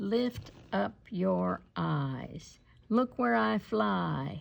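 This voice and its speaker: In a put-on character voice, a woman talks very slowly at a very deep, low pitch against a quiet background. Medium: read story.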